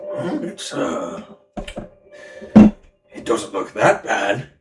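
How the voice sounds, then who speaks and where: A man puts on a raspy, high-pitched character voice and speaks at a very slow pace. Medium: actual play. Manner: gruff, blunt.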